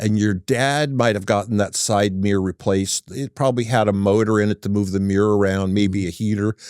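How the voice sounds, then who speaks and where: An unremarkable speaking voice with an American accent, fairly quick and with hardly any pauses, fairly even in intonation, in a dry, close sound with no echo. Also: man, fairly low pitch for a man. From Northern California, Humboldt County. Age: 60s. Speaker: auto repair business owner. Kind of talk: casual interview chat.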